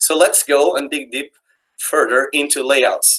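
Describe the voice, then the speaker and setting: A man talks at a moderate pace. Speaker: software developer giving a talk. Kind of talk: technical presentation. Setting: online video meetup.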